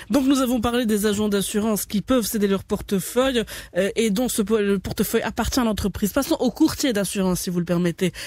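A woman speaks at a fairly quick pace in an unremarkable speaking voice, pitched fairly high with ordinary pitch variation. The background is quiet and the sound is dry with no echo. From Morocco. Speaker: radio host. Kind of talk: radio interview. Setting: radio studio. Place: studio.

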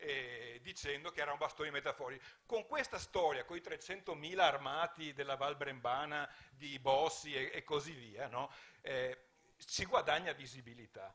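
His tone is bright and sharp, and this man's pitch sits fairly high. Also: ordinary pitch variation, moderate pace. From Veneto, Italy. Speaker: politician and writer; politician. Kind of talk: panel discussion. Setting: stage with audience. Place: stage. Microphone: handheld.

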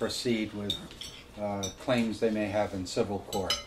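In a fairly low, monotone voice with flat intonation, a man speaks over light background noise. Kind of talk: informal talk to a small audience. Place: home room. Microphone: camera far.

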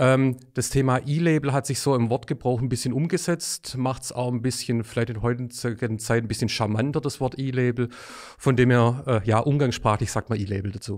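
Over a silent background in a very clean recording, a man speaks in a plain, everyday voice at a moderate pace, with fairly even intonation and hardly any pauses. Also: medium pitch for a man. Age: 40s. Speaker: sales manager. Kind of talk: expert interview.

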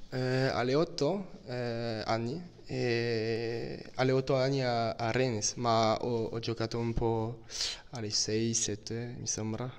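In a French accent, a man speaks at a very slow pace. His intonation is fairly even. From France, Brittany. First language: French (speaking Italian). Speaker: footballer. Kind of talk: interview. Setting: training camp. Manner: halting. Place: home room. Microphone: handheld.

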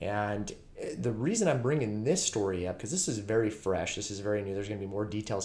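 A man speaks in an ordinary speaking voice, fairly low in pitch, at a fairly quick pace with ordinary pitch variation. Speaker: true crime channel host. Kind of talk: commentary. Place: home room. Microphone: webcam.

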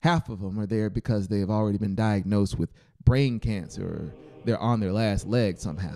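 The speaker reads in an unforced reading voice, keeping the intonation fairly even.

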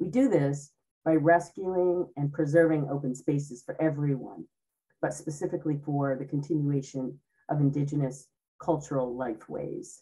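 In a very deep, low pitch, a woman with an American accent speaks in a dark, mellow, somewhat breathy tone with fairly even intonation against a quiet background. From Cape Cod, Massachusetts; Massachusetts. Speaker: speaker. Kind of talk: presentation talk. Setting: video call. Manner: slower than usual. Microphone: video call.

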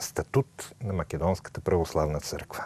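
A man's dark, mellow tone with lively intonation at a moderate pace, dry sound with no echo. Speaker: priest, TV host. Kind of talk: reading an official church text. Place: studio. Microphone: lapel.

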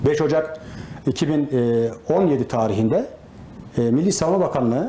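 Audible room echo surrounds a man's voice with ordinary pitch variation. Light background noise is present. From Turkey, Isparta; Turkey. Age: 40s. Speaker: retired gendarmerie specialist, association president; interview guest. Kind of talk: TV interview; interview answer. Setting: association headquarters office. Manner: hesitant with many fillers. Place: office. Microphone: lapel.

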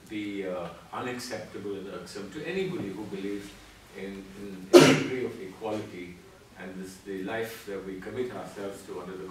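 Amid noticeable background noise and audible room echo, a man speaks at a moderate pace with fairly low pitch and ordinary pitch variation. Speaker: guest, former minister. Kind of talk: interview answer. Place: classroom. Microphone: camera far.

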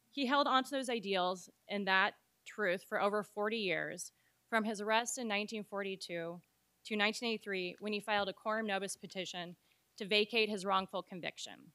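A woman speaks with an American accent in a bright, sharp tone, at a moderate pace with fairly even intonation, over a quiet background. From Oregon. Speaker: civil rights lawyer, panelist. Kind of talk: prepared speech. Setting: event venue with live audience. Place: hall. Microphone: podium.

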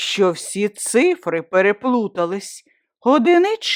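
Someone reads in a natural voice, and the background is quiet.

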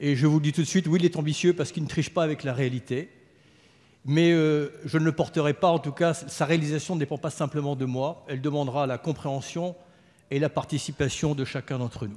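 The man speaks at a fairly quick pace. His intonation stays fairly even. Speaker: government minister. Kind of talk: parliamentary speech. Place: hall. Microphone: podium.

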